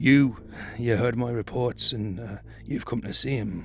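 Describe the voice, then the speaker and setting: Using a put-on character voice, a man speaks raspily at a medium pitch and moderate pace with fairly even intonation. Clear background noise runs underneath. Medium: read story. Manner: hesitant, stammering.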